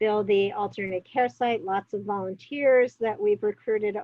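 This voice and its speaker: At a moderate pace, a woman speaks at medium pitch with an American accent. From New York. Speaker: public health officer. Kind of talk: interview. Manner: many fillers and hesitations.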